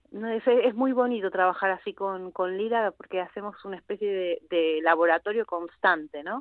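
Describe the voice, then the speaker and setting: With an Argentine accent, a woman speaks at a moderate pace with hardly any pauses, medium pitch and ordinary pitch variation. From Argentina. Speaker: actress and musician. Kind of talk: interview.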